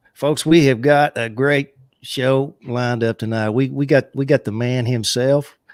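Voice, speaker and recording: A man speaks in a Southern US accent at a medium pitch with ordinary pitch variation. His pace is moderate, and the recording is very clean with a silent background. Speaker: livestream co-host of a beekeeping chat show. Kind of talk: casual live chat. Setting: live stream from a home studio. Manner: halting, many filler uh's.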